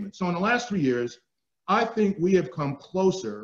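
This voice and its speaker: A man with a New Jersey accent talks at a fairly quick pace, his intonation lively. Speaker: retired army general. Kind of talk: keynote speech. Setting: webinar. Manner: loud.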